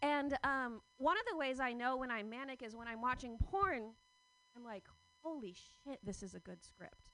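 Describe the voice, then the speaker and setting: With a raised, projected voice, a woman speaks at a high pitch with lively intonation and big swings in loudness. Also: moderate pace. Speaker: comedian. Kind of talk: stand-up. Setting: stage with audience. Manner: halting.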